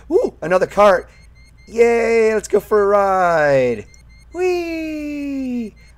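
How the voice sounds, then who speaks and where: A man's extremely high voice, very slow in pace, with very wide pitch swings. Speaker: gaming streamer. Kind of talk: live gameplay commentary. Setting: online live stream. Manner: animated; profane.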